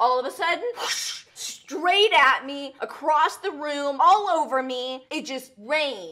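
A woman's raised, projected voice at a fairly slow pace, with very wide pitch swings. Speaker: video host answering viewer questions. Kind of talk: casual vlog chat, storytelling. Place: home room. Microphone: studio mic.

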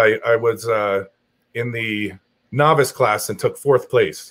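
Lively intonation from a man, quiet background behind. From New Jersey (Morris County); New Jersey. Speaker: strongman athlete; guest. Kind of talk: casual chat. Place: home room.

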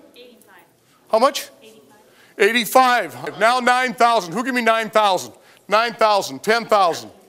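Using a raised, projected voice, a man speaks at a high pitch and moderate pace, his tone bright and sharp with ordinary pitch variation. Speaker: auctioneer. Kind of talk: live auction calling. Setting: warehouse auction floor with bidders. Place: factory. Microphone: headset.

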